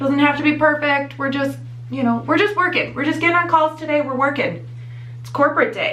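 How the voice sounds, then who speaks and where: A woman talks at a fairly quick pace. Noticeable background noise and audible room echo fill the recording. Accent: slight Midwestern US. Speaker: beauty vlogger. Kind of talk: tutorial. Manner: casual, chatty.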